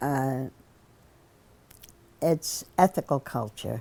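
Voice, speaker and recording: Each word comes very slowly from the woman speaking. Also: very clean recording, silent background. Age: 80s+. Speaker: civil rights activist. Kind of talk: interview answer. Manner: halting, hesitant.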